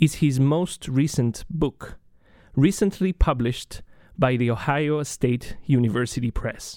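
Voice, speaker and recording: A man's dark, mellow voice, fairly slow, with lively intonation. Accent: Spanish. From Chile. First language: Spanish. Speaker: radio host, graduate student. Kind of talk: interview.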